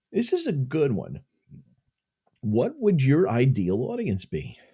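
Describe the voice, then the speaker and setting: A man with an American accent speaks at a very slow pace, his dark, mellow tone somewhat breathy and his pitch swinging very widely. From Connecticut. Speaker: podcast host, tour guide and musician. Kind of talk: casual solo monologue. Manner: casual with many fillers.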